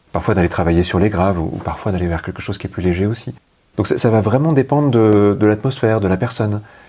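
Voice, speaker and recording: A very fast pace with ordinary pitch variation. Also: man, fairly low pitch for a man. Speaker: hypnotherapist. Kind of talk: podcast interview.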